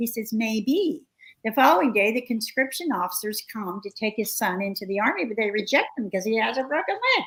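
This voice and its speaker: A woman with an ordinary speaking voice talks at a fairly quick pace, her fairly high pitch showing ordinary pitch variation. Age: 60s. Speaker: researcher and author. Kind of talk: interview conversation.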